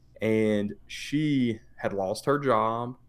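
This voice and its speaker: Fairly low-pitched speech from a man, ordinary in its pitch variation, in a very clean recording with a silent background. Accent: slight Tennessee. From Tennessee, US. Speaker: businessman. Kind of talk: casual podcast interview. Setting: studio.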